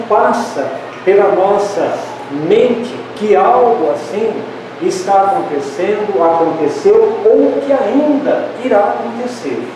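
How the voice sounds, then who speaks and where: A man speaks at a very slow pace. Strong room echo and noticeable background noise fill the recording. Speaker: lecturer. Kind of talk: lecture. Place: hall.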